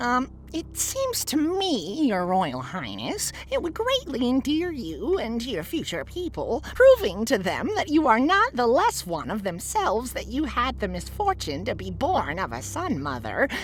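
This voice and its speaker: Someone performs a put-on character voice at a moderate pace with hardly any pauses. Background noise is clearly heard. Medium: read story. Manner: obsequious, hesitant.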